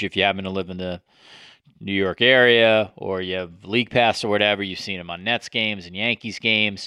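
A man speaks with a fairly low pitch. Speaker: podcast host. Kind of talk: interview.

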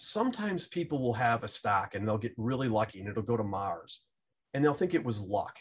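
A man's somewhat breathy voice, pitched in very wide swings, proceeds at a moderate speed. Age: 50s. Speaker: fund manager and stock investor. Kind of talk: interview.

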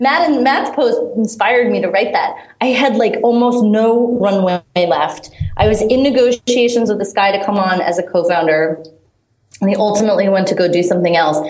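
A woman's fairly high voice with lively intonation and very even loudness, fairly quick in pace, in audible room echo. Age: 30s. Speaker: startup founder. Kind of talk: interview. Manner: halting, filler-heavy.

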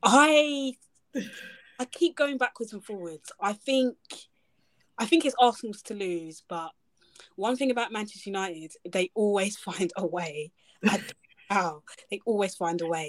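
Enthusiastic in tone, this voice moves at a fairly slow pace with very wide pitch swings and long, frequent pauses, in a dry, close sound with no echo. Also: woman, medium pitch for a woman. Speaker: football podcaster. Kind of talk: casual chat.

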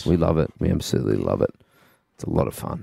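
A man puts on a raspy character voice with a very deep, low pitch. He rattles along at a very fast pace. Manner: exaggerated, mock-serious.

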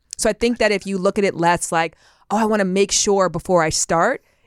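On a very clean recording with a silent background and a dry, close sound with no echo, a woman speaks fairly quickly at a medium pitch. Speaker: sex educator and author. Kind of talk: casual interview chat. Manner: fast talker.

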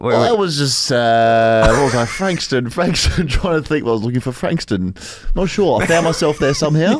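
A man with an Australian accent speaks at a moderate pace, his pitch fairly high and his intonation lively. Noticeable background noise runs under the recording. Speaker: podcast co-host.

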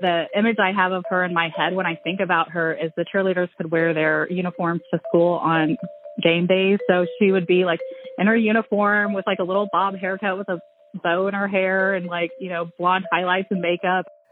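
A woman's medium-pitched voice with an American accent, fairly even intonation, and noticeable background noise. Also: moderate pace. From Joplin, Missouri. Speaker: former classmate of the subject. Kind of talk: interview testimony.

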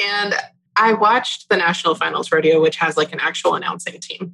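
The speaker has an American accent. Noticeable background noise is present. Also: woman. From Texas. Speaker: podcast co-host. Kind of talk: casual chat.

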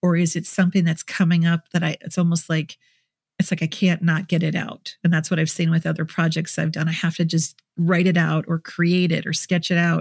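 Speaking at a fairly quick pace with an American accent, this voice is somewhat breathy and has a monotone, flat intonation. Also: woman, fairly low pitch for a woman. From US Midwest, Minnesota. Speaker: therapist. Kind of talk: interview.

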